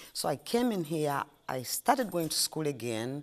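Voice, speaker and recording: A woman in a Ugandan accent, fairly slow, with very wide pitch swings, on a very clean recording with a silent background. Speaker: ice cream shop owner. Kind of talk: interview. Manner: halting.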